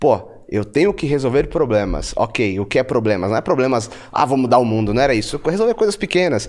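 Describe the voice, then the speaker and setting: A man speaks against a quiet background. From Bahia, Brazil (Feira de Santana), born in São Paulo. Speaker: entrepreneur and investor. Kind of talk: interview conversation. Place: studio. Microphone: studio mic.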